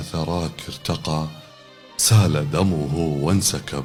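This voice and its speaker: Music plays in the background as a man talks in a very deep, low pitch. His intonation is fairly even and his pace very slow. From Kuwait. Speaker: broadcaster. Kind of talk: poetry reading.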